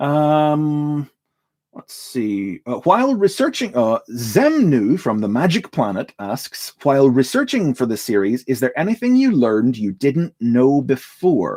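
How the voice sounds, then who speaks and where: A man with a dark, mellow tone and fairly high pitch speaks at a fairly slow pace, his pitch swinging very widely. The recording is very clean over a silent background, with a dry, close sound and no echo. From Northern Ireland. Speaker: YouTuber answering viewer questions. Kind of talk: livestream Q&A, casual chat. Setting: livestream. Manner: halting, many repetitions and fillers.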